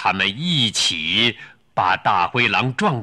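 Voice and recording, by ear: The text is read aloud in a natural voice.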